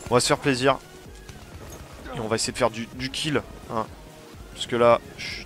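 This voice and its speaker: There is music in the background as a man speaks. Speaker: gaming YouTuber. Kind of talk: gameplay commentary. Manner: animated.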